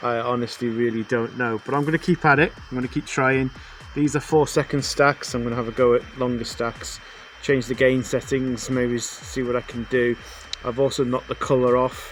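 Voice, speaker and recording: Over noticeable background noise, a man with medium pitch talks at a fairly quick pace with fairly even intonation. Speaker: amateur astronomy youtuber. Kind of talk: casual video narration. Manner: hesitant, many fillers.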